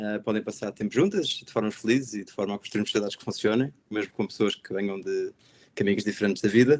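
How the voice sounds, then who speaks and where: Talking at a very fast pace, a man with a fairly low pitch keeps his intonation fairly even while his loudness swings widely. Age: 30s. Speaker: education nonprofit director. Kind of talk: webinar panel discussion.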